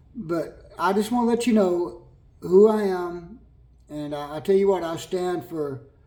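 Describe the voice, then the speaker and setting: A man with an American accent speaks at a high pitch and a fairly slow pace, with ordinary pitch variation. Audible room echo and noticeable background noise fill the recording. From California. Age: 60s. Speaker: vlogger. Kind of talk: personal testimony to camera. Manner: halting, with repetitions.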